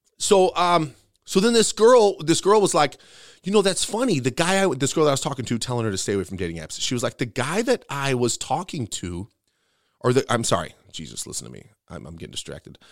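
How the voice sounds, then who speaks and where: An animated man speaks at a fairly quick pace with fairly high pitch, very wide pitch swings, vocal fry and big swings in loudness. The recording is very clean, with a silent background. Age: 40s. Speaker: podcast host and bartender. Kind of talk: casual chat.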